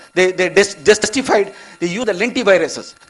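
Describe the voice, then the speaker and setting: Very fast and high-pitched, a man talks with ordinary pitch variation amid noticeable background noise. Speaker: eye research scientist. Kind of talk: conference lecture. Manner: halting.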